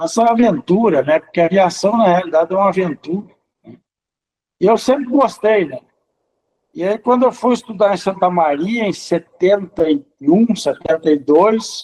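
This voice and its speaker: A man with a high pitch talks at a moderate pace with lively intonation and big swings in loudness, the sound dry and close with no echo. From Sobradinho, Rio Grande do Sul, Brazil. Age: 60s. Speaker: pilot. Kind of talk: documentary interview.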